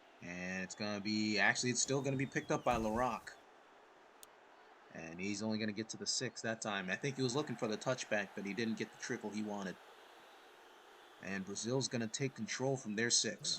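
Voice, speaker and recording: A man speaks quietly at medium pitch, with a bright, sharp tone. His pace is fairly quick, broken by long, frequent pauses. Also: ordinary pitch variation. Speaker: video game commentator. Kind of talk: live commentary. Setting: home recording at night. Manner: quiet, kept down.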